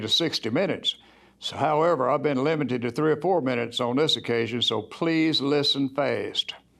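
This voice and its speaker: An unremarkable speaking voice from a man, fairly high in pitch, with ordinary pitch variation and a moderate pace. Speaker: Alcoholics Anonymous group leader. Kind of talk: personal testimony to church congregation.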